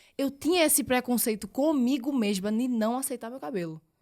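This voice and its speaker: She speaks with a Pernambuco accent. The woman's pitch varies in an ordinary way. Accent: Pernambuco accent, drawling. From Pernambuco, Brazil (Recife). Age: 20s. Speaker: model. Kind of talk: casual chat. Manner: spontaneous, casual.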